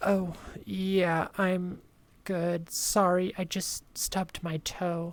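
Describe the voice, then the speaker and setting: In a put-on character voice, the speaker sounds shaky and talks very slowly with monotone, flat intonation. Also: woman, medium pitch for a woman. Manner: covering up, nervous.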